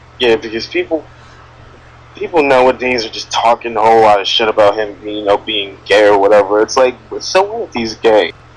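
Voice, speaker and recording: The background noise here is noticeable. Over it, a man speaks at a moderate speed. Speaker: podcast host. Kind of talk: casual chat. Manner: stuttering, halting.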